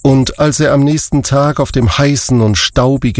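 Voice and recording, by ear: Aloud and in a natural voice, a person reads from a text.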